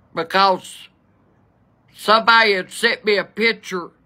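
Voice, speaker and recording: Over a quiet background, a woman speaks at a very slow pace with fairly even intonation. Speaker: storyteller. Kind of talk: casual vlog chat, storytelling. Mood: exasperated, humorous. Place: home room. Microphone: phone near.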